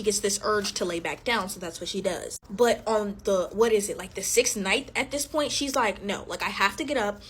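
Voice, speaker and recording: Against noticeable background noise, a woman talks at a fairly quick pace and a fairly high pitch with hardly any pauses. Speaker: TikTok storyteller. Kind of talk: casual storytelling to camera. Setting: alone, recording herself. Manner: animated.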